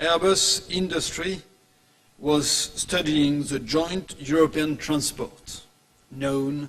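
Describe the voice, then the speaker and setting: Amid noticeable background noise, a man with a fairly high voice speaks very slowly with fairly even intonation. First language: French. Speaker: aerospace industry executive. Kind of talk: conference presentation. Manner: formal.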